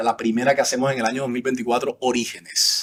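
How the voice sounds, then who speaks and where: A man with a fairly high pitch speaks in a strong Colombian Caribbean accent. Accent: Colombian Caribbean coastal, kept strongly. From Colombian Caribbean coast, Sincelejo (Sucre). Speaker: senator. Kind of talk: interview. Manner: hesitant, many fillers and repetitions.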